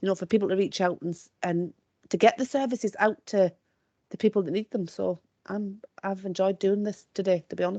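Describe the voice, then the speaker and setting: A woman with an English accent talks at a very fast pace, her pitch medium and her tone dark and mellow. The sound is dry and close, with no echo. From Scotland, South Lanarkshire. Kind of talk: webinar discussion.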